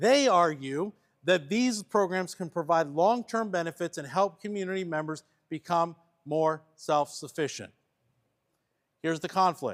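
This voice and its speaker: The speech moves at a moderate pace with long, frequent pauses and ordinary pitch variation, in a dry, close sound with no echo. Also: man, high pitch for a man. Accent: Pennsylvania. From Pennsylvania. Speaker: church workshop trainer. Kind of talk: training workshop; reading aloud a case study.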